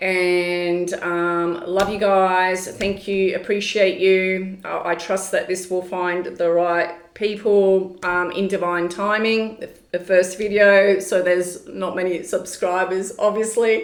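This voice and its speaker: In a room with audible echo and noticeable background noise, a woman at a medium pitch speaks at a very slow pace in a monotone, flat intonation, with hardly any pauses. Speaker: spiritual channeler and tarot reader. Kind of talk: casual vlog monologue. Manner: hesitant, many fillers.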